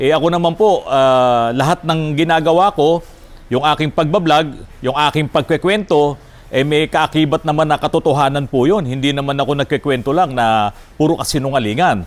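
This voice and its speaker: Speaking at a moderate pace, a man with a fairly high pitch has a plain, everyday voice and ordinary pitch variation. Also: very even loudness. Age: 50s. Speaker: auto repair shop owner and vlogger. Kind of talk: casual vlog talk. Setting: auto repair shop.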